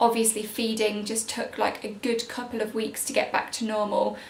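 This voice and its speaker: A woman's fairly high voice comes through noticeable background noise along with audible room echo. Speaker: parenting vlogger. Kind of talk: casual vlog update. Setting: at home, baby napping above. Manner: quiet; chatty.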